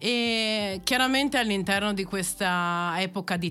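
A woman's bright, sharp tone at a fairly slow pace. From Italy, Verona. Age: 30s. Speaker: landscape architect and PhD researcher. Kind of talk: interview.

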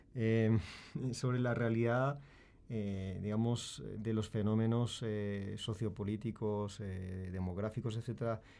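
A man with a Spanish accent speaks at a fairly low pitch with fairly even intonation and a dark, mellow tone. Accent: Spanish from Spain. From Spain. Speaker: university professor. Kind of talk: panel discussion. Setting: studio.

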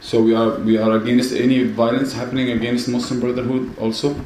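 A man at medium pitch and moderate pace, monotone and flat, with audible room echo and noticeable background noise. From Mansoura, Egypt. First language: Arabic. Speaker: musician. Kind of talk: panel talk.

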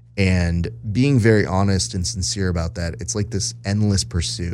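A man is speaking. His pitch sits fairly low. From US, Mexican-American family. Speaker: jiu-jitsu podcaster and social media manager. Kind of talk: casual interview chat. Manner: animated.

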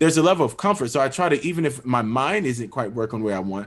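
A man's very fast, lively-toned speech over a quiet background. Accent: American. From Florida, US South (Pensacola). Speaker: orchestral oboist. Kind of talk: interview conversation.

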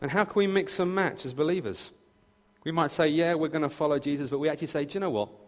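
Pitched fairly high, a man speaks at a very fast pace. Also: ordinary pitch variation. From southern England, near Brighton. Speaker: pastor. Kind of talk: sermon. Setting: church.

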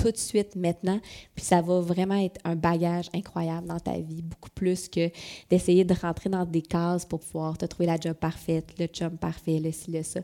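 A woman with a Quebec accent speaks in a fairly low pitch, with a dark, mellow tone and monotone, flat intonation. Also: very clean recording, silent background. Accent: Québécois French. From Quebec City, Quebec. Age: 40s. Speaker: business owner. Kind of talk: interview conversation.

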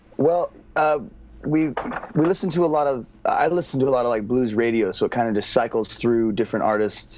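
A man's ordinary speaking voice with medium pitch, lively intonation, very even loudness and a fairly quick pace. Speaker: musician, band frontman. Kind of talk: casual interview chat.

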